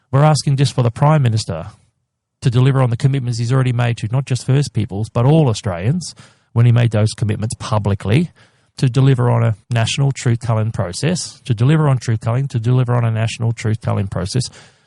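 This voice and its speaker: This man talks at a very fast pace in a medium pitch, his dark, mellow tone somewhat breathy, with ordinary pitch variation and a dry, close sound with no echo. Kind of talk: interview, advocacy. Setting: podcast interview. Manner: passionate, emphatic.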